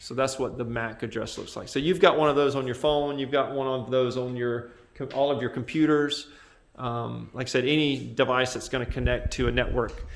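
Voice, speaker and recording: The room echo is audible as a man speaks. His pace is fairly quick. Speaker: computer science teacher. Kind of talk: classroom lecture. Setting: classroom with students. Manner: loud; halting.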